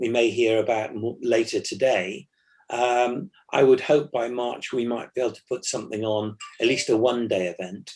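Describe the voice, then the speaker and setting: A man with a normal speaking voice at medium pitch, fairly even intonation, against a quiet background. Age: 60s. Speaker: classic car club president and rally driver. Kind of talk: interview chat.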